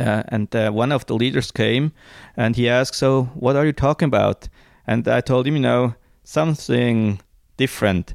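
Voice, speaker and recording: A man with a Swiss German accent speaks at a moderate pace and medium pitch, with ordinary pitch variation and very even loudness, in a dry, close sound with no echo and a very clean recording with a silent background. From Switzerland, Zurich Highlands. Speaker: small business owner and mission supporter. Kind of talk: casual interview. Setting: basement at home. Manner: halting.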